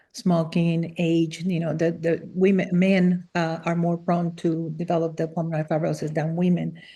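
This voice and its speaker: A woman's fairly low, dark and mellow voice, fairly quick and monotone with flat intonation, against a quiet background. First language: Spanish. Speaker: former physician and transplant survivor. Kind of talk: interview. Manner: halting, many fillers.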